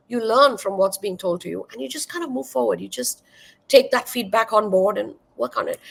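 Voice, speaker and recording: A woman with a Marathi accent. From India (Maharashtra). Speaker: wine educator and content creator. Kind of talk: interview.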